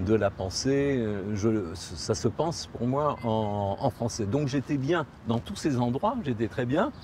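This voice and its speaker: At a very slow pace, a man with a medium pitch speaks with lively intonation. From Morocco (Tangier). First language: Spanish (speaking French). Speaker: interviewee recounting his emigration to Israel. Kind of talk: interview testimony. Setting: outdoors on a promenade in Jerusalem. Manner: hesitant, with repetitions.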